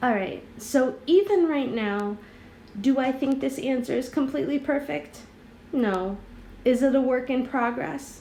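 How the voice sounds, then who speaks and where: Fairly slow delivery and lively intonation in a space with audible room echo. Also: woman, high pitch for a woman. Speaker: middle school teacher. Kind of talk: tutorial.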